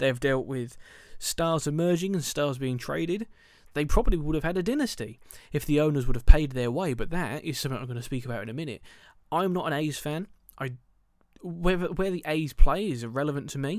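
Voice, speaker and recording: With a southern English accent, a man speaks at a fairly quick pace with a fairly high pitch. His tone is animated, with big swings in loudness. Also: ordinary pitch variation. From England, Milton Keynes. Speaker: baseball podcast host. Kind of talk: solo podcast commentary.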